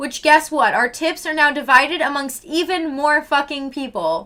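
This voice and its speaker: A woman's high, raised and projected voice, animated in tone, at a moderate pace. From Canada, Vancouver Island. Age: 20s. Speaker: livestreamer. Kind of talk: casual chat. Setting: live stream.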